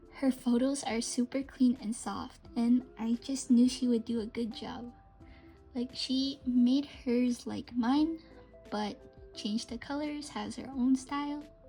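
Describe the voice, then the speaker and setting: Music plays in the background as a woman with a high pitch speaks at a very slow pace, with big swings in loudness. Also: fairly even intonation. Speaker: amigurumi crochet pattern designer. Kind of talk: casual talk to camera. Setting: no microphone, home recording.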